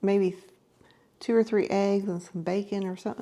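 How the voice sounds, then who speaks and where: A woman speaking at a fairly quick pace. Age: 60s. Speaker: lifestyle vlogger. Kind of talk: casual vlog monologue. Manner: halting, many fillers and repetitions.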